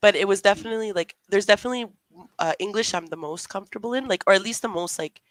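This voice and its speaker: Someone with a Canadian accent speaks very fast, with ordinary pitch variation and big swings in loudness. The sound is dry and close with no echo, in a very clean recording with a silent background. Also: woman, medium pitch for a woman. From Canada. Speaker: booktuber. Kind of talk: casual chat.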